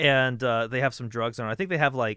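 Over a quiet background, a man speaks at medium pitch with fairly even intonation in an ordinary speaking voice. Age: 30s. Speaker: podcast host. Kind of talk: casual chat.

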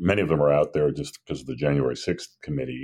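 This man's voice has vocal fry and a dark, mellow tone, with ordinary pitch variation. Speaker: political journalist. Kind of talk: casual political discussion.

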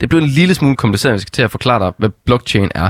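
Recorded dry and close with no echo, a man talks with ordinary pitch variation. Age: 20s. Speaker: stand-in radio host. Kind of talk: casual radio chat.

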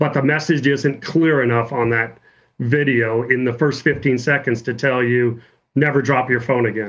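A man has an unremarkable speaking voice at a medium pitch. His moderate pace, fairly even intonation and very even loudness hold throughout. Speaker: automotive engineer and startup founder. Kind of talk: casual chat.

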